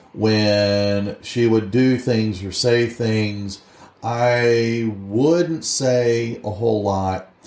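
A man speaks at a very slow pace and a medium pitch. His loudness stays very even over noticeable background noise. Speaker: podcast co-host. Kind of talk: casual chat. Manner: loud, excitable delivery.

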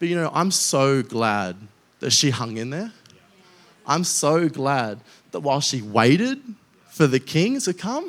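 A man with an Australian accent speaks at a fairly slow pace, leaving long, frequent pauses. His fairly high pitch swings very widely in an animated tone. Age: 20s. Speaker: guest preacher. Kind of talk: sermon. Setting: church.

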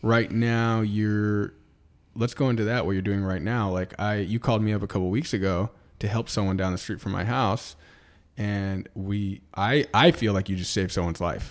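A man with an unremarkable speaking voice and an American accent talks at a moderate pace in a fairly low pitch with fairly even intonation, on a very clean recording with a silent background. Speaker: podcast co-host, real estate agent. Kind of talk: casual chat.

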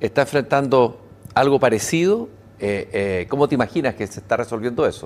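A man speaks at a moderate pace in a plain, everyday voice, medium in pitch, with lively intonation. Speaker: TV interviewer. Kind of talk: interview. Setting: studio with live broadcast.

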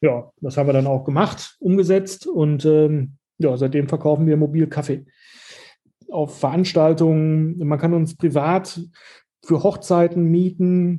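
At a fairly slow pace, a man with a fairly high, dark, mellow voice keeps his intonation fairly even. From Germany, Dortmund (Ruhr area). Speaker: shop owner. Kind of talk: interview. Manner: halting, many fillers and repetitions.

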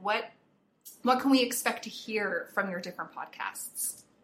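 Speaking at a fairly slow pace, a woman uses a normal speaking voice with ordinary pitch variation. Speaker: interviewer. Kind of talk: casual interview.

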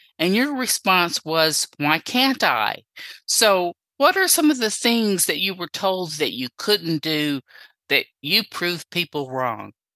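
Speaking very slowly at a fairly low pitch, a woman uses very wide pitch swings and a bright, sharp tone, recorded very cleanly against a silent background in a dry, close sound with no echo. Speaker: interviewer. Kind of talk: interview. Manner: enthusiastic.

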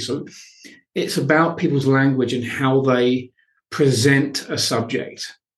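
This man has an ordinary speaking voice, medium in pitch. He speaks fairly slowly with fairly even intonation. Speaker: podcast host. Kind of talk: interview, warm and inspirational.

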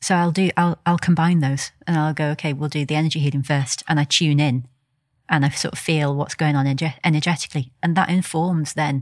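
On a very clean recording with a silent background, a woman speaks at a fairly quick pace. Her very deep, low pitch stays monotone and flat. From England, seaside village. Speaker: energy healer and sports massage therapist. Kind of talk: casual interview. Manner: calm.

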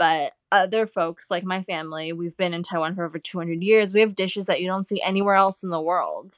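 A woman with a Californian accent, medium pitch, monotone, flat intonation and a fairly quick pace with hardly any pauses, in a dry, close sound with no echo. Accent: Californian American English. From US West Coast, Los Angeles. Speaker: journalist and cookbook author. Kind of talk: interview.

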